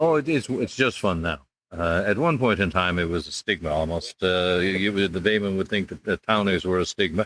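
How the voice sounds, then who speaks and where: Very deep and low in pitch, a man talks at a fairly quick pace with ordinary pitch variation. The sound is dry and close with no echo, on a very clean recording with a silent background. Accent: Newfoundland. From Newfoundland, St. John's. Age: 70s. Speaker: retired curler and coach. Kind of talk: interview conversation.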